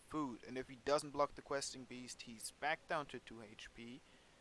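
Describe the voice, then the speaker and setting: A man with a non-native accent, fairly high in pitch, at a fairly slow pace with fairly even intonation. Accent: non-native English, self-noted. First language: German. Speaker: gaming YouTuber. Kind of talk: gameplay commentary. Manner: casual.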